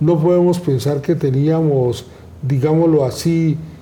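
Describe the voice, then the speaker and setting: Audible room echo surrounds a man speaking fairly slowly at a fairly high pitch, with ordinary pitch variation. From Colombia. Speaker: law professor, program director. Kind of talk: formal conversation. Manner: formal.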